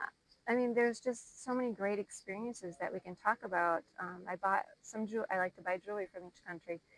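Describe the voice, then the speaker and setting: In an Upper Midwest accent, a woman speaks at a fairly quick pace with fairly even intonation, the sound dry and close with no echo. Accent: Upper Midwest American. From Minnesota. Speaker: podcast guest. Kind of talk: casual interview.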